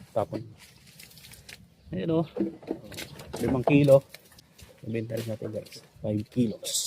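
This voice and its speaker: Against noticeable background noise, a man talks with long, frequent pauses. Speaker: vlogger. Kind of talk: casual vlog narration.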